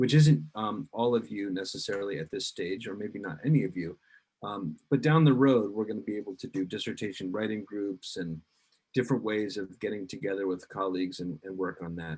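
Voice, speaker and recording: A man's fairly low voice at a fairly quick pace, with ordinary pitch variation. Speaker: university career advisor. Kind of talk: workshop presentation. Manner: halting, many fillers and repeats.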